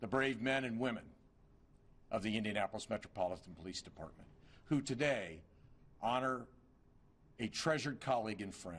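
A man speaks at a moderate pace with vocal fry. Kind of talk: formal eulogy speech. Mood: solemn, grieving. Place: hall. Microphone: podium.

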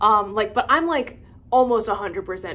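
Over light background noise, a woman speaks with lively intonation and vocal fry. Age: 20s. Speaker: witchcraft content creator. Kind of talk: casual vlog monologue. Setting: filming alone at home. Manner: hesitant, many fillers. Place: home room. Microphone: phone near.

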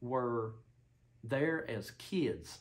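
A somewhat breathy man speaks with ordinary pitch variation. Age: 30s. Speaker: YouTuber discussing spiritual interpretations; vlogger. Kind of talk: solo monologue. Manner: halting, many fillers and restarts. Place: home room. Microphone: camera far.

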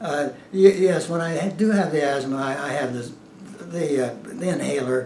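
A man talks at a moderate pace with a fairly high pitch. Noticeable background noise sits behind him. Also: ordinary pitch variation. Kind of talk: interview answer. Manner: hesitant, many fillers.

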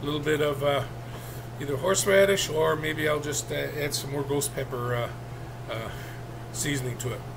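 Noticeable background noise sits behind a man who speaks at a moderate pace. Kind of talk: casual cooking tutorial. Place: kitchen. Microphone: webcam.

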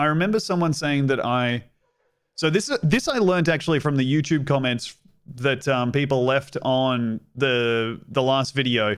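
Against a quiet background, a man with an Australian accent talks at a fairly slow pace in a fairly high pitch, with ordinary pitch variation and very even loudness. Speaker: streamer and comedian; streamer, comedian. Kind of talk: casual gameplay commentary. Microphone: studio mic.

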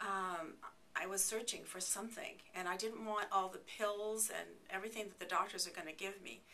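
A woman at a moderate pace with fairly even intonation, over light background noise. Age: 60s. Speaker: patient giving testimonial. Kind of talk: testimony. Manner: halting, many fillers and repeats. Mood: earnest, reflective.

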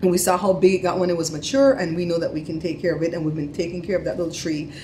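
A woman with a fairly low pitch over light background noise. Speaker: family vlogger. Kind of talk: casual vlog chat. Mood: animated, storytelling. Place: home room. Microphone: phone near.

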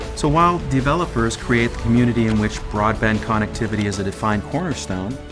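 A man races along at a very fast pace with hardly any pauses and very wide pitch swings. Clear music plays in the background. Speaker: voice actor and host. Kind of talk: corporate narration. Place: studio.

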